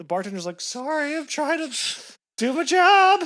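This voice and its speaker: In a very clean recording with a silent background, a man with an American accent projects a raised voice at a moderate pace, with a bright, sharp tone and very wide pitch swings. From New York. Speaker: podcast co-host. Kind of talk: casual chat.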